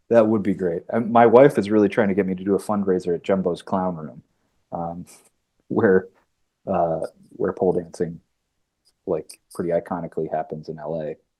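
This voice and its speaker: A man with a Midwestern accent speaks at a moderate pace, his pitch very deep and low with ordinary variation. His tone is dark and mellow, and he takes long, frequent pauses. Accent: Midwest. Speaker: actor. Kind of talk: casual interview.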